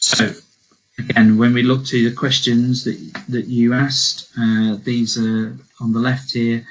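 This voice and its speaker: A man at a medium pitch, flat and monotone. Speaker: sports funding officer. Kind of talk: webinar presentation. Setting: online webinar. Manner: fast; hesitant with fillers.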